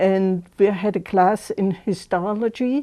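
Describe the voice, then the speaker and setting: A woman with a German accent, medium pitch, fairly even intonation and a dark, mellow tone, over a quiet background. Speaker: senior center member recalling memories. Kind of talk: personal recollection. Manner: halting.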